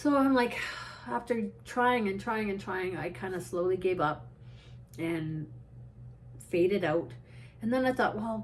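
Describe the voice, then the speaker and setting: Woman's medium-pitched voice at a moderate pace with lively intonation. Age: 60s. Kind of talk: casual talk to camera. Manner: rambling, tangential.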